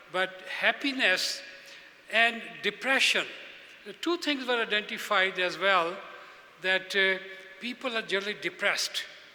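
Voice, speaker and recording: A high-pitched male voice with ordinary pitch variation, a moderate pace and long, frequent pauses, over noticeable background noise. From Pakistan. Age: 70s. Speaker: speaker at a religious convention. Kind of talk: speech to an audience. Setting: stage with audience.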